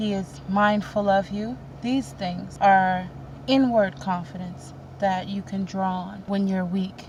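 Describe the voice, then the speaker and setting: At a very slow pace, a woman speaks with a medium pitch. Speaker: spiritual vlogger. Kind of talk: casual spiritual talk to camera. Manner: halting, repeats words.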